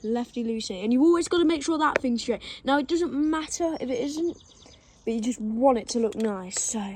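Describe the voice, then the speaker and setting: A woman with an English accent and a high pitch speaks at a moderate pace with lively intonation. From England. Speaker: BMX rider making a how-to video. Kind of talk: tutorial. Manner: casual.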